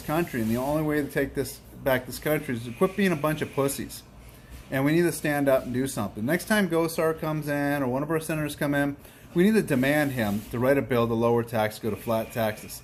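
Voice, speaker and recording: An American-accented man, fairly high in pitch, at a fairly quick pace with ordinary pitch variation. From US Northeast, Boston. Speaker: business owner. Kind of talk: casual rant to camera. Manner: animated.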